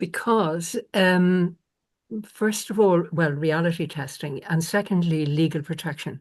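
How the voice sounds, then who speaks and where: In a quiet background, a woman with an Irish accent talks at a fairly slow pace, her fairly low pitch showing ordinary variation. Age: 70s. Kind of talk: conversation on a conference panel.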